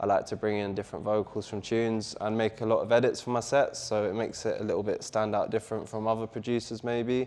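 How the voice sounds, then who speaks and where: Speaking very fast with hardly any pauses, a man with a London accent holds a medium pitch in a monotone, flat intonation. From London, England. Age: 20s. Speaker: DJ and music producer. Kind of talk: interview.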